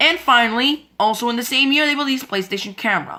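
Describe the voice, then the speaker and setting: The speaker is a woman. She moves along at a fairly quick pace. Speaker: YouTuber presenting logo history slides. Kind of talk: scripted slideshow narration. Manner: fast; halting, repeats words.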